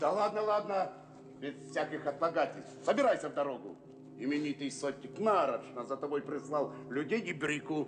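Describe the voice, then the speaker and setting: Putting on a gruff character voice, a man speaks at a moderate pace and a fairly high pitch with ordinary pitch variation, over clear background noise. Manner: gruff, commanding.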